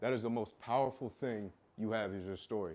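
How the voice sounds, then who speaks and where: With an American accent, a man speaks at a medium pitch with ordinary pitch variation over a quiet background. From Iowa, US Midwest. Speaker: fitness coach, conference speaker. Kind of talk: motivational talk on stage. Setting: stage with audience. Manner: loud.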